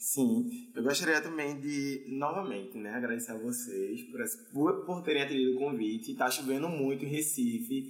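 A man with a fairly high voice and very wide pitch swings speaks at a moderate pace, with audible room echo and noticeable background noise. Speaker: podcast host. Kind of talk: casual chat. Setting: studio.

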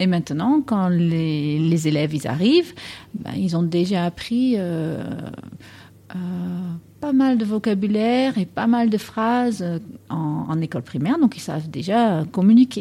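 At a fairly slow pace with long, frequent pauses, a woman speaks in a dark, mellow tone at a medium pitch, her voice swinging very widely. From Netherlands. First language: Dutch (speaking French). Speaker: English teacher. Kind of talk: interview.

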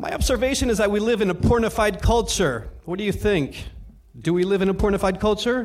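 A man with a high voice and ordinary pitch variation speaks amid audible room echo. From Belgium. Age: young. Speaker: experimental sound artist. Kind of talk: live stage performance talk between tracks; guided-imagery storytelling over ambient sound, meditation-style. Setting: club stage with live audience. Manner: hesitant, many ums and stumbles.

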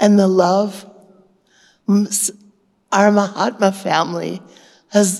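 A woman talks at a medium pitch with vocal fry. Her tone is dark and mellow. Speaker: retreat attendee sharing experience. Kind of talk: testimony. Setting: spiritual retreat hall with audience.

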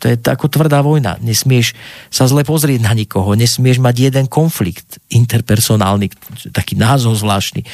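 An unremarkable speaking voice from a man, medium in pitch with ordinary pitch variation, at a moderate pace and very even loudness. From Slovakia, Banská Bystrica. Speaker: actor. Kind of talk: interview.

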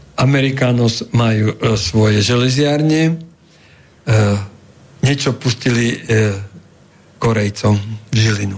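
Very slowly, a man speaks with ordinary pitch variation. His loudness stays very even. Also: medium pitch for a man. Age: 70s. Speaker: former politician and law professor. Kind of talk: radio interview.

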